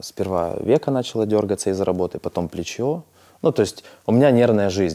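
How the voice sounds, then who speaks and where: A man's dark, mellow tone with ordinary pitch variation over a quiet background. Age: 30s. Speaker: businessman and blogger; blogger. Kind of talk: therapy session. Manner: hesitant with filler sounds. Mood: candid, reflective. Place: studio. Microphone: lapel.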